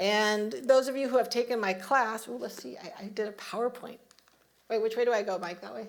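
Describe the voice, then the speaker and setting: Amid audible room echo, a woman with a fairly high pitch speaks at a moderate pace. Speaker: minister giving a Sunday talk. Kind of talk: sermon. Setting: church service with congregation.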